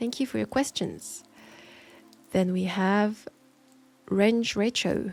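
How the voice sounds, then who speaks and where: Soft-spoken and at a fairly slow pace, a woman with a French accent talks at a medium pitch over music in the background. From France. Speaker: audio roleplay creator. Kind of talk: Q&A answering listener questions.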